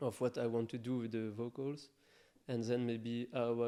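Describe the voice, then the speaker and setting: At a fairly slow pace, a man speaks at medium pitch in a dark, mellow tone with monotone, flat intonation. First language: not English. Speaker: electronic music producer. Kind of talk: interview. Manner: halting.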